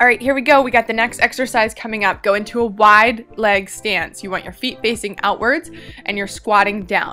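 Faint music plays in the background as the speaker goes at a moderate pace with ordinary pitch variation. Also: woman. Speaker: fitness instructor. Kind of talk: workout instruction. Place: beach.

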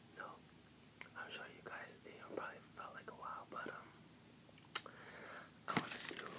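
A man whispers at a moderate pace, with long, frequent pauses. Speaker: ASMR video creator. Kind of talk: casual talk to camera. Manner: whispered. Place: home room. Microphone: webcam.

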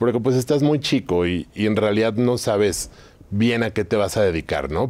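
A man with a Mexican accent speaks at a moderate pace in a fairly low pitch. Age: 30s. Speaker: entrepreneur, trading company founder; interview guest. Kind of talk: interview. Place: studio. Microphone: lapel.

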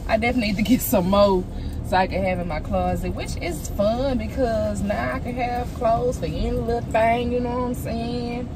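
At a moderate pace, a woman talks with music in the background and a dry sound with no echo. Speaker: lifestyle vlogger. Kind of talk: casual vlog chat. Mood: playful, chatty, laughing. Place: car. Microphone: phone near.

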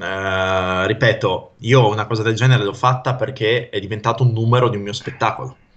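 A man with fairly even intonation, a somewhat breathy sound and hardly any pauses. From northern Italy, Pavia area (Lombardy); Lombardy. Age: 30s. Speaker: mnemonist and stage performer; interview guest. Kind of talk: casual interview chat. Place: home room. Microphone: video call.

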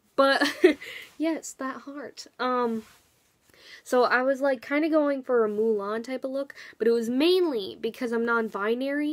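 She talks at a moderate speed, her pitch varying in an ordinary way, with little noise around her. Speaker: vlogger. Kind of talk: casual vlog chat. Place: home room. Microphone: webcam.

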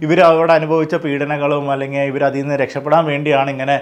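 Delivered in a monotone, flat intonation, a man's voice sits at a fairly high pitch. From Kerala, Palakkad (Kollengode). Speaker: YouTuber. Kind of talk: personal commentary monologue.

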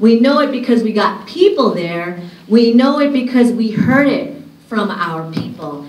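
Over noticeable background noise and audible room echo, a woman with an American accent talks in an animated tone at a fairly high pitch, her voice swinging very widely up and down. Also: fairly slow pace. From Union City, California. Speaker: sociology professor. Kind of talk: conference talk. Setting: stage with audience.

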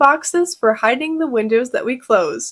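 Moderate-paced speech from a woman, the background quiet. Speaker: presenter. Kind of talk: tutorial.

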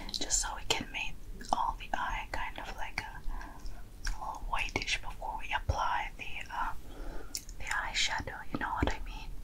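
Her pace is fairly slow. The woman whispers throughout. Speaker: ASMR makeup roleplay host. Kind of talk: soft roleplay tutorial chat.

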